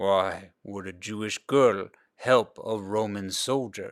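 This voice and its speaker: A man puts on a character voice at a fairly low pitch. He goes at a fairly slow pace in a very clean recording with a silent background. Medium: read story. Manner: commanding.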